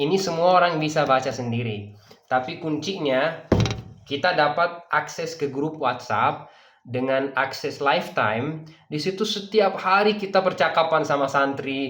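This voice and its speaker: The speaker is a man with a fairly high pitch and a bright, sharp tone. He talks at a moderate pace with ordinary pitch variation. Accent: Persian. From Dubai, UAE (grew up there). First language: Persian (speaking Indonesian). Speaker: language teacher. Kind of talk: sales pitch. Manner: filler-laden, hesitant.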